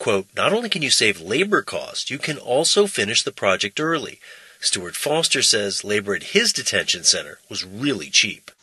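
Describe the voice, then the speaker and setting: Moderately paced male speech against noticeable background noise. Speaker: radio correspondent. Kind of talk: radio news report.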